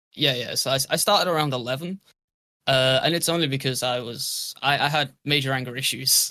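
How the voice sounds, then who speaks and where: Fairly quick and fairly high-pitched, a man talks in a bright, sharp tone with fairly even intonation. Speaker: drummer and part-time streamer. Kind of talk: casual chat.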